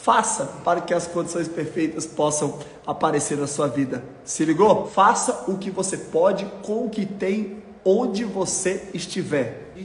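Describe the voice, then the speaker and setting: A man with a Brazilian accent speaks at a high pitch in an animated tone, slowly and with ordinary pitch variation. Audible room echo and light background noise surround him. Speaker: motivational YouTuber. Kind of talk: motivational talk. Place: home room.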